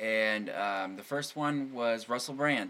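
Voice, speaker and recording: A man talks at a medium pitch with ordinary pitch variation, in an unremarkable speaking voice. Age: 30s. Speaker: podcast host. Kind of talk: casual chat. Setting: home studio.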